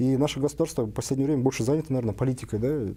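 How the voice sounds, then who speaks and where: Dark and mellow in tone, this is a man's voice. The pitch moves up and down in an ordinary way. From Kyrgyzstan. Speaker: business association head. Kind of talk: panel debate.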